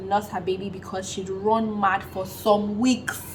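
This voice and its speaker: A woman with a Nigerian accent speaks in an animated tone at a medium pitch. Noticeable background noise runs behind her. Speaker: vlogger. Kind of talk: casual vlog talk.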